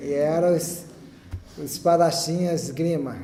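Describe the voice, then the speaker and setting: A man with a fairly high pitch keeps his intonation fairly even. Room echo is audible. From Brazil, Rio de Janeiro. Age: 60s. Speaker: church member giving testimony. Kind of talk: testimony. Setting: chapel with audience.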